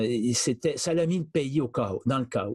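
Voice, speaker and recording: Somewhat breathy, a man speaks at a medium pitch and a fairly slow pace, with ordinary pitch variation. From Quebec. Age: 60s. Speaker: charity director. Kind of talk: interview. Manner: halting.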